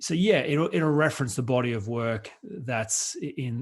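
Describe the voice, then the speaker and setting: A somewhat breathy man with an Australian accent speaks at a fairly slow pace in a medium pitch, with ordinary pitch variation, over a quiet background. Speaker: author and coach, workshop presenter. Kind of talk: radio interview.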